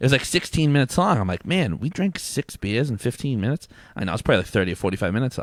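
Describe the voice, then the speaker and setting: A man mumbles at a very fast pace with very wide pitch swings around a medium pitch. The recording is very clean, with a silent background and a dry, close sound with no echo. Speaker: brewery executive. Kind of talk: casual chat. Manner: mumbles, sounds fast; pauses while thinking.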